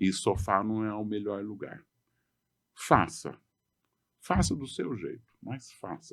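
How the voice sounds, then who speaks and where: A man speaks very slowly at a fairly low pitch, leaving long, frequent pauses. His loudness swings widely. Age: 60s. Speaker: adventurer, long-distance walker. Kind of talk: podcast interview.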